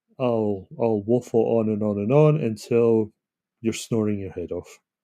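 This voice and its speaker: A man talks at a fairly slow pace in a Scottish accent. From Scotland. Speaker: author and self-publishing consultant. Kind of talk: live stream monologue. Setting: home computer live stream. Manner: casual, hesitant with fillers.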